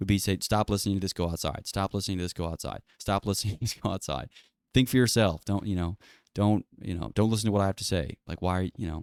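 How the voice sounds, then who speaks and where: Very fast and fairly low-pitched, a man speaks with ordinary pitch variation. The recording is very clean and dry, close with no echo, over a silent background. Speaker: podcaster. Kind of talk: casual solo monologue.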